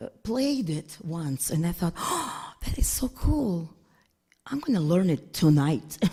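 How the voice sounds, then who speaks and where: Very slow and somewhat breathy, a woman speaks at a fairly low pitch with very wide pitch swings and a dark, mellow tone. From Russia, Saint Petersburg. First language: Russian. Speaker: concert pianist. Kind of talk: casual interview.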